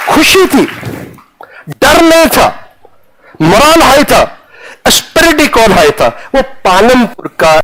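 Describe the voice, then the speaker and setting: Through noticeable background noise, a voice with a Punjabi accent moves through very wide pitch swings. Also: man. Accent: Punjabi-accented Hindi. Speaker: retired army general. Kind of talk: motivational talk to students. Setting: classroom.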